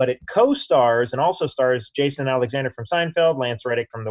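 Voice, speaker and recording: A man with an American accent speaks at a fairly quick pace in a medium pitch, his intonation fairly even, an ordinary speaking voice. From Oklahoma (Broken Bow). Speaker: actor. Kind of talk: casual chat.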